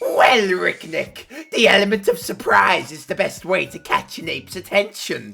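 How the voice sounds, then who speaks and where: A man puts on a character voice at a high pitch. He moves at a moderate pace with big swings in loudness. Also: hardly any pauses. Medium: solo performance. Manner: florid, theatrical, pompous.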